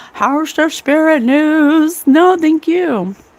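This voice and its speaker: A woman's voice with noticeable background noise. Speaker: psychic medium and podcast host. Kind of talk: casual livestream chat.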